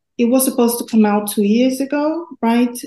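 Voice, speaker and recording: With a Portuguese accent, a woman speaks in a fairly high pitch with a dark, mellow, somewhat breathy tone and ordinary pitch variation. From Brazil. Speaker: student researcher.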